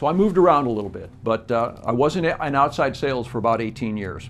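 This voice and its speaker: A man with a Midwestern American accent, fairly quick pace and very wide pitch swings. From US Midwest, Joliet, Illinois. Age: 60s. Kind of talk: campaign address. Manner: halting, with frequent fillers.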